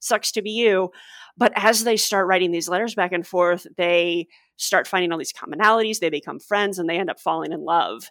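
Speaking at a fairly quick pace, a woman with a normal speaking voice has a medium pitch and ordinary pitch variation. The sound is dry and close with no echo, in a very clean recording with a silent background. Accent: American. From US Midwest, St. Louis. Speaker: copy editor and podcaster. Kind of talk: casual chat.

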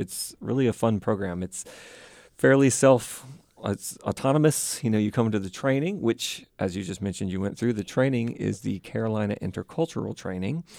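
A man speaks in a plain, everyday voice with a fairly low pitch, lively intonation and a moderate pace. The sound is dry and close, with no echo. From US South, Mississippi (Vicksburg). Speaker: university international student services staff. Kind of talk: casual interview.

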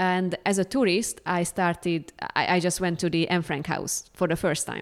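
A woman with a Hungarian accent speaks at a fairly slow pace and fairly low pitch. The recording is very clean, with a silent background. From Hungary. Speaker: museum educator and graduate student. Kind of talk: interview.

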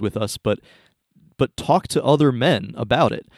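The sound is dry and close, with no echo. A man with a plain, everyday voice speaks at a moderate pace with ordinary pitch variation. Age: 30s. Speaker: podcast host. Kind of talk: casual chat.

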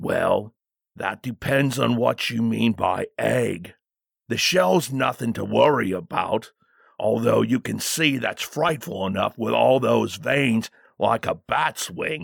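Using a put-on character voice, a man sounds raspy at a medium pitch. He goes at a fairly slow pace, and the sound is dry and close with no echo. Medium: read story. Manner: formal, deferential.

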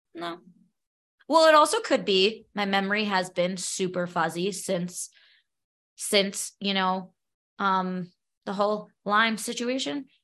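Speaking very slowly with long, frequent pauses, a woman with a New York accent has a medium pitch, ordinary pitch variation and a bright, sharp tone over a quiet background. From New York, Brooklyn. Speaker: podcaster and special education teacher, Lyme patient. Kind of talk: interview.

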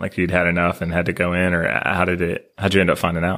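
A man with an American accent has a very deep, low pitch. The recording is very clean, with a silent background. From US South, Nashville. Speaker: podcast host, former pilot. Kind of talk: casual interview; scripted outro.

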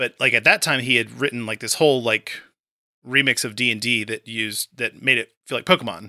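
A man with vocal fry talks at a medium pitch and fairly quick pace, with ordinary pitch variation and a bright, sharp tone. The very clean recording has a silent background and a dry, close sound with no echo. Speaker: podcast host and tabletop game writer. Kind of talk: casual interview chat.

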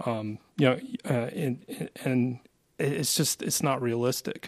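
Here is a man with an unremarkable speaking voice, medium in pitch, with an American accent and ordinary pitch variation. The recording is very clean, with a silent background. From Asheville, North Carolina. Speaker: branding agency co-founder. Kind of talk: casual interview.

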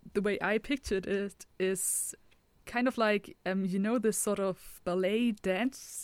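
A woman speaks at a medium pitch with ordinary pitch variation. She has an unremarkable speaking voice. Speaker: tabletop role-playing game player. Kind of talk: tabletop role-play session.

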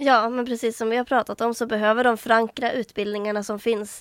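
A woman's fairly high voice in a Norrland accent, fairly even in intonation, dry and close with no echo, on a very clean recording with a silent background. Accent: northern Swedish (Norrland). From Västernorrland, northern Sweden (Härnösand). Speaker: student union vice chair. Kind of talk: casual chat.

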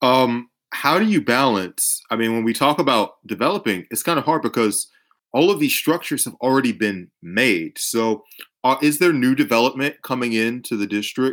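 A man with an American accent and a plain, everyday voice speaks in a medium pitch at a moderate pace with lively intonation. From Atlanta, Georgia, US. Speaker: podcast host. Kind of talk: casual interview chat. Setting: online call recording. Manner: joking, sarcastic.

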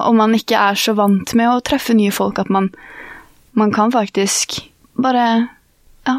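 A woman with a Norwegian accent and a fairly high pitch at a moderate pace, fairly even in intonation, with a dry, close sound and no echo. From Norway. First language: Norwegian (speaking Swedish). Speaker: university student. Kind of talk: casual chat.

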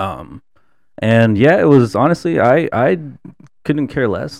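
Vocal fry runs through this man's speech, which moves at a moderate pace with very wide swings in pitch. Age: 20s. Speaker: photographer and student. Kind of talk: casual chat. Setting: studio.

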